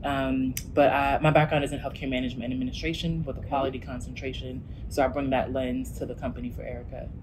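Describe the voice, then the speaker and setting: Amid audible room echo and noticeable background noise, a woman with an American accent speaks at a very fast pace with hardly any pauses. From New Jersey. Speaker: healthcare startup executive. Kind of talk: interview.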